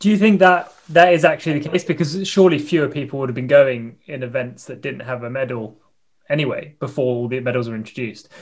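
Speaking very fast with a British accent, a man uses a fairly high, somewhat breathy voice with big swings in loudness. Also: ordinary pitch variation. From Britain. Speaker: podcast co-host and fencer. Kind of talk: casual interview chat.

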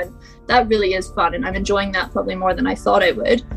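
Music plays in the background. A woman with an American accent speaks at a very fast pace.

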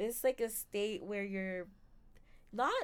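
This woman speaks with a fairly high pitch. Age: 20s. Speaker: podcast co-host. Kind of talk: casual chat.

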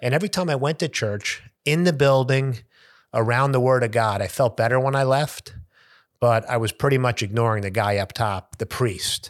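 A man's medium-pitched voice with ordinary pitch variation at a moderate pace, on a very clean recording with a silent background. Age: 50s. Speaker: sports agent. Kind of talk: casual chat.

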